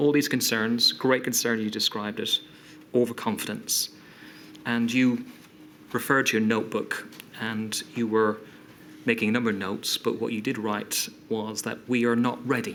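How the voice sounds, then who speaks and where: This man talks in a British accent at a moderate pace, his medium pitch held in a flat monotone. Long pauses come often. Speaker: inquiry counsel. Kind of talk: formal questioning at public inquiry.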